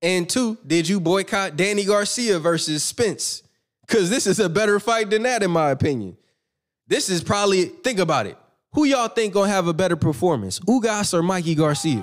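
Lively intonation marks this man's high-pitched voice. He keeps a moderate pace, and the recording is very clean with a silent background. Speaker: boxing commentator. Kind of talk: live stream commentary. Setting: live stream. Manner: yells when making a point; animated.

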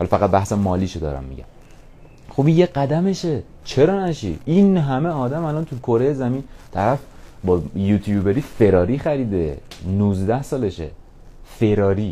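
A man's dark, mellow tone at a fairly slow pace, with very wide pitch swings and long, frequent pauses. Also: medium pitch for a man. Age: 20s. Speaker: podcaster. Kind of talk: motivational monologue. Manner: casual, energetic.

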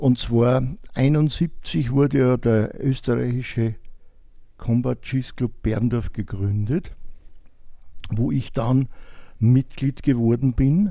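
A man speaks at a very slow pace with long, frequent pauses. His medium-pitched voice has a dark, mellow tone. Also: ordinary pitch variation. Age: 70s. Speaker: retired tailor and sport shooter. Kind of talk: casual interview.

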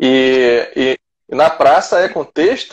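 With lively intonation, a man delivers his words at a very slow pace. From Rio de Janeiro (Vila Isabel). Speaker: martial arts instructor. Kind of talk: casual interview chat.

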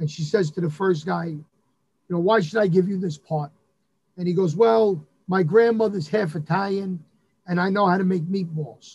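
Speaking with a New York accent, a man uses a high pitch and fairly even intonation. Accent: New York (Bronx). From New York, the Bronx. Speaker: Elvis impersonator and venue owner. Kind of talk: casual chat.

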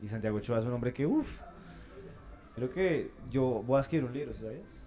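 There is music in the background. Over it, a man speaks at a medium pitch. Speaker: podcast host. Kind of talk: casual interview chat. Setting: café.

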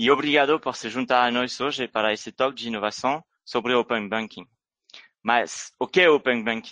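Pitch shifts in a normal way while the delivery holds a moderate speed. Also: man, medium pitch for a man. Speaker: business developer, event opener. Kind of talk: scripted introduction.

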